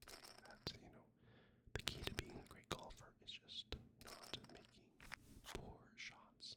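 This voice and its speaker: Whispering in a calm tone, a man speaks over noticeable background noise. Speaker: ASMR content creator. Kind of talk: whispered ASMR gameplay commentary. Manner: soft-spoken, whispered, calm.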